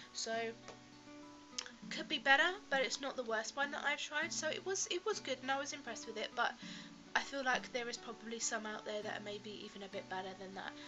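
A woman with a British accent at a fairly quick pace, high pitch and lively intonation, with music in the background. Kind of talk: casual talk to camera.

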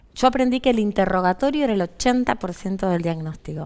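A woman speaks with lively intonation. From Argentina. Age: 40s. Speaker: physician; interview guest. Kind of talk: interview; interview answer. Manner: halting. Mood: earnest, reflective. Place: studio. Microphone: headset.

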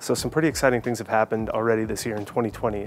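Dry sound with no echo, over light background noise. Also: man. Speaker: hiking channel host. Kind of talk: casual vlog chat. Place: garden. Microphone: lapel.

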